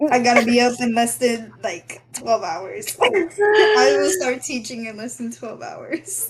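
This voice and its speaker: A woman talks at a very slow pace with hardly any pauses. Music plays in the background. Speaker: sorority member, recent graduate. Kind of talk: casual chat.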